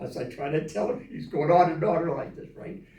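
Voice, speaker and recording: A man talks at a moderate pace in a fairly high pitch. Noticeable background noise runs behind him. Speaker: Navy veteran. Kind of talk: interview answer. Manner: rambling, hesitant storytelling.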